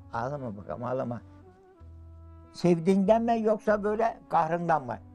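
Faint music plays in the background as a man speaks. He keeps a moderate pace with very wide pitch swings. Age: 80s+. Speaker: villager caring for wife with Alzheimer's. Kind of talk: interview answer. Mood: tearful, emotional. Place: home room.

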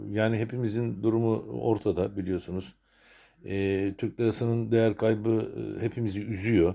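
A man talks at a moderate pace in a dark, mellow tone, fairly low in pitch and flat, monotone in intonation. The recording is very clean, with a silent background. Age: 60s. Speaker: retired sea captain and video blogger. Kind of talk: personal new year video message. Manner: hesitant, many filler sounds.

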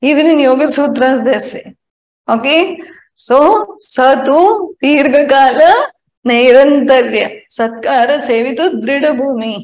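A woman with a high pitch and ordinary pitch variation talks at a fairly slow pace. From India. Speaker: spiritual teacher. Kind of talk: spiritual talk mixing Hindi and English. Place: home room. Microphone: lapel.

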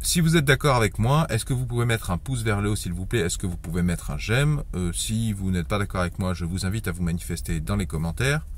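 Talking at a very fast pace with hardly any pauses, a man with a very deep, low voice and vocal fry swings his pitch very widely, the sound dry with no echo. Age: 30s. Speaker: YouTuber giving personal finance advice. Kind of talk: online video monologue. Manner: halting. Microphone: phone near.

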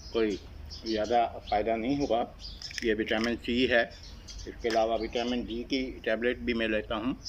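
A man speaks at a fairly slow pace in a medium pitch with monotone, flat intonation, leaving long, frequent pauses over light background noise. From Pakistan. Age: 50s. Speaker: vlogger. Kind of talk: casual vlog monologue. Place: garden. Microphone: phone near.

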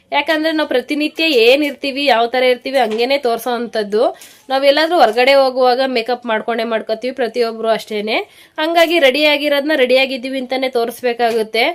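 High-pitched female speech, its intonation fairly even. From Karnataka, Nagamangala area (Mandya). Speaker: family vlogger. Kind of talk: casual vlog talk.

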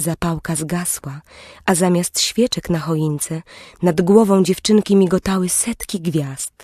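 A woman speaks at a fairly slow pace in a plain, everyday voice of medium pitch, recorded dry and close with no echo over a quiet background. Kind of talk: bedtime story audiobook narration. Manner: slow, soft, gentle storyteller's pacing.

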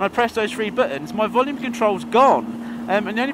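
Extremely high in pitch, a man speaks at a very fast pace with fairly even intonation. Noticeable background noise runs underneath. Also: dry sound with no echo. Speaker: motorcycle vlogger. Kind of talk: casual vlog chat. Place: motorbike. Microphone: helmet.

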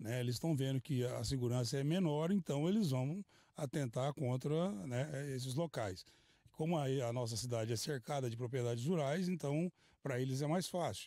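Over a quiet background, a man talks at a medium pitch with a dark, mellow tone, very even loudness and ordinary pitch variation. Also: moderate pace, dry sound with no echo. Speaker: police officer. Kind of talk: news interview. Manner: halting. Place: open country. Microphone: handheld.

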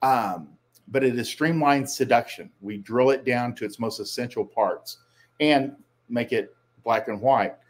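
A man speaks at a medium pitch with ordinary pitch variation. He has an ordinary speaking voice. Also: fairly slow pace. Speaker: dating coach. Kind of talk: solo commentary.

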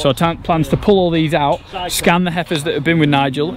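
Behind the speech there is noticeable background noise. No echo colors the dry sound. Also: man. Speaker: farmer vlogger. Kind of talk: casual vlog chat. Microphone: phone near.

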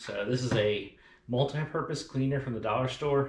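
A man with vocal fry at a moderate pace, with audible room echo and light background noise. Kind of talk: casual vlog tutorial. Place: garage.

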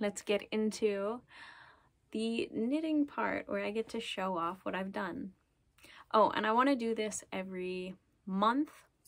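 A woman with a medium pitch speaks at a fairly slow pace. Her long, frequent pauses stand out against a quiet background. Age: 20s. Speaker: knitting podcaster and craft business owner; knitting podcaster. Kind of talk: casual chat. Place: home room. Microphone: phone near.

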